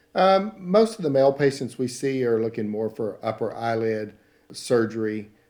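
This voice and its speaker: A man's dark, mellow voice at a moderate pace, with a Southern accent. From Texas (Paris, northeast Texas). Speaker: plastic surgeon. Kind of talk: interview.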